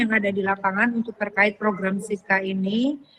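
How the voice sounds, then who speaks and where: A woman speaks with a strong Javanese accent and fairly even intonation. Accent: thick Javanese. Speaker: event closer/official. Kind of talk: closing remarks.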